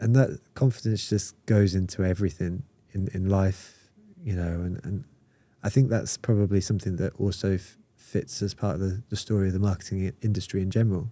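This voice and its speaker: A man with a British accent speaks in a fairly low, dark, mellow voice with fairly even intonation. The recording is very clean, with a silent background. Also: fairly quick pace. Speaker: marketing community founder. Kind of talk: casual podcast conversation. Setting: in-person podcast recording.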